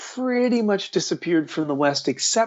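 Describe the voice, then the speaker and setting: A man speaks in a plain, everyday voice. His pace is moderate and his pitch variation ordinary. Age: 60s. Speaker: author. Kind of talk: interview.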